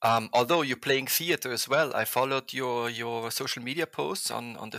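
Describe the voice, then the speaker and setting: On a very clean recording with a silent background and a dry, close sound with no echo, a man with a German accent speaks fairly quickly in a bright, sharp tone with vocal fry and lively intonation. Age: 50s. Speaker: podcast host, environmental graphic designer. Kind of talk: interview. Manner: halting.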